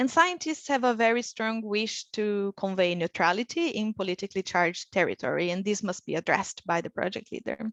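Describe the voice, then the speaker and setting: A woman with a Portuguese accent speaks at a moderate pace in a fairly high pitch, her intonation lively against a quiet background. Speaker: researcher. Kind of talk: webinar lecture. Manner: frequent filler words (uh).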